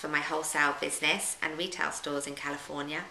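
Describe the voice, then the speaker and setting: A woman with a British accent talks at a fairly quick pace over noticeable background noise. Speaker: yoga teacher. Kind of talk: audiobook reading of travel memoir.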